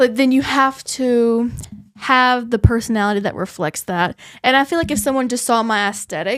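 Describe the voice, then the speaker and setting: Loud and high-pitched, a woman's voice comes through on a very clean recording with a silent background. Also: ordinary pitch variation, moderate pace. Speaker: podcast co-host. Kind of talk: casual chat.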